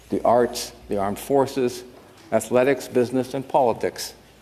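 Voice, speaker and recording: Over noticeable background noise, a man with a Canadian accent talks at a moderate pace. His pitch is medium and his intonation fairly even. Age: 70s. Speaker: senator. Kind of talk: formal speech. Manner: formal.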